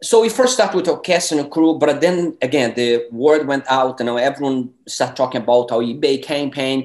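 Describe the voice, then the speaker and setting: A man speaks at moderate speed, his intonation lively, with a quiet background behind him. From Brazil. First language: Portuguese. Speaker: independent filmmaker. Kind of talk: interview. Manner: halting, many fillers. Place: home room. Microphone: webcam.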